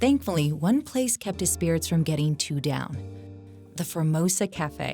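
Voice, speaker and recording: A woman with a very deep, low pitch speaks fairly slowly, with hardly any pauses. Her pitch swings very widely, and music plays in the background. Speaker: podcast host. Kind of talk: ghost story narration.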